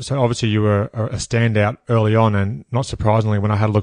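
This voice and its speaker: A man's fairly low, flat monotone at a fairly quick pace, dry and close with no echo over a quiet background. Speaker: podcast host. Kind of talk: interview.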